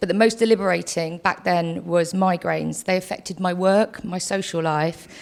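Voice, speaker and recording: A plain, everyday voice: a woman at a fairly quick pace, fairly low in pitch, with fairly even intonation. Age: 40s. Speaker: patient speaker. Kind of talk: testimony.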